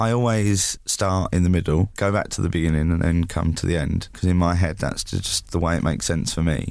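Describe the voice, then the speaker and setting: With an English accent, a man speaks at a fairly quick pace in a very deep, low pitch, keeping his loudness very even with ordinary pitch variation and hardly any pauses. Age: 20s. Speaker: mental health campaigner. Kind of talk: interview.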